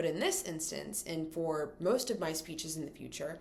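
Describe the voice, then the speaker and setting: With audible room echo, a woman talks at a fairly quick pace. Her pitch is fairly low and varies in an ordinary way. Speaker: college student. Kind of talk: class speech to camera. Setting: recorded in front of a camera. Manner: fast; vocal fillers.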